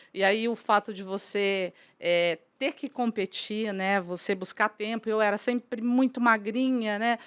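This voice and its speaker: A woman's ordinary speaking voice, fairly high in pitch and fairly slow, with a dry, close sound and no echo. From Brazil, São Paulo state interior (São José do Rio Preto). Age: 60s. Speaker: businesswoman, franchise council president. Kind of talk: podcast interview, personal story.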